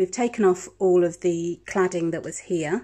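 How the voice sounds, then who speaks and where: Using a dark, mellow tone, a woman speaks at a very slow pace with a fairly low pitch and fairly even intonation. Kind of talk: casual vlog chat. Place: home room. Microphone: phone near.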